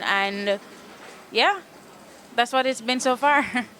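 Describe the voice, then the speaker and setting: A woman's voice over noticeable background noise. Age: 20s. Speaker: singer-songwriter. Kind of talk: interview. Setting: music festival. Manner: fast.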